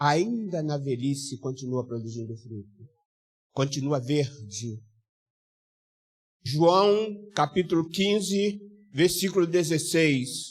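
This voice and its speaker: Somewhat breathy and fairly high-pitched, a man speaks very slowly with lively intonation, big swings in loudness and long, frequent pauses. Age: 60s. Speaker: pastor. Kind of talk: sermon.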